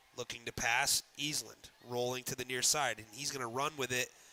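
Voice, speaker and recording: A loud man speaks at a moderate pace with a bright, sharp tone and monotone, flat intonation. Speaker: sports play-by-play announcer. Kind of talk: live commentary. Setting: media room at a high school stadium. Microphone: echo from enclosed room.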